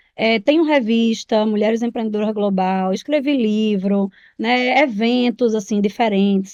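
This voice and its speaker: The background is quiet as a woman with a fairly high pitch and a dark, mellow tone talks at a fairly slow pace. She uses ordinary pitch variation and hardly pauses. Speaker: entrepreneur and speaker. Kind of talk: podcast interview. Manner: animated.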